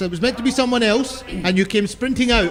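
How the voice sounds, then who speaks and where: A man talks loudly at a very fast pace with lively intonation. Noticeable background noise is present. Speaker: cricket commentator. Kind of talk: live commentary. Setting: commentary box.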